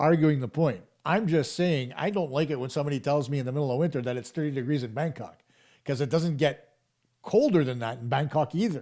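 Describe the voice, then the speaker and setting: An animated man with a Canadian accent, fairly high in pitch and fairly quick, with ordinary pitch variation on a very clean recording with a silent background. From Canada. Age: 50s. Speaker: hockey show host. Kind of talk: live-stream hockey talk reading chat. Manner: animated, conversational.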